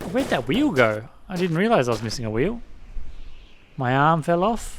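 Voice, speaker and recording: A mumbling man with an Australian accent, fairly high-pitched for a man, with very wide pitch swings at a moderate pace. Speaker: let's play gamer. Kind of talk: gameplay commentary. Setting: home computer at dining table.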